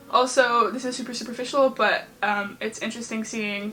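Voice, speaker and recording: A woman's fairly high, monotone voice with flat intonation, music in the background. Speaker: YouTuber. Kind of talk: casual vlog talk. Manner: fast.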